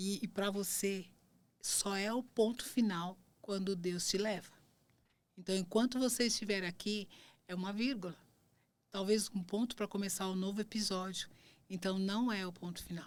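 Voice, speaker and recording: Recorded very cleanly against a silent background, the speech moves at a moderate pace with long, frequent pauses. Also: woman, medium pitch for a woman. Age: 60s. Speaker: podcast host. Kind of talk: interview wrap-up, casual chat. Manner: halting, many false starts.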